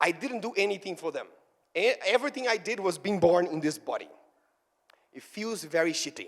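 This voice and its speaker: Talking at a fairly quick pace with a Brazilian Portuguese accent, a man with a high voice shows ordinary pitch variation, big swings in loudness, and long, frequent pauses. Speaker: fitness trainer and speaker. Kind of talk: motivational talk. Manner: animated.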